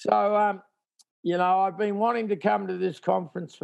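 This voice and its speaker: The speaker is a man. He has an Australian accent. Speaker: tour promoter. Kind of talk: interview. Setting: video call from home.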